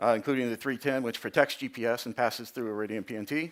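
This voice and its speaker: In a very clean recording with a silent background, a man talks very fast at a medium pitch with ordinary pitch variation. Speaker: industry presenter at navigation conference. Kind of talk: conference presentation.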